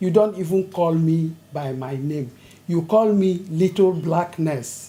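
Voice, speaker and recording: Somewhat breathy and dark, with a mellow tone, a woman's fairly low voice moves very slowly with ordinary pitch variation. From Nigeria, Lagos. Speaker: retired nurse. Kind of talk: oral history interview.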